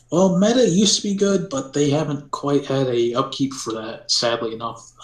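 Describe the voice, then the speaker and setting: A man at a moderate pace with lively intonation and a fairly high pitch. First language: not English. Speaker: game server admin. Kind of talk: interview. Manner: hesitant, many fillers.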